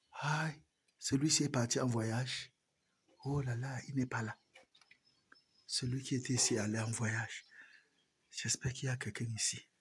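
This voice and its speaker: A soft-spoken man talks at a fairly slow pace, with long, frequent pauses. His voice is somewhat breathy and medium in pitch, with fairly even intonation. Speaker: rabbit farmer. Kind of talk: farm tour vlog.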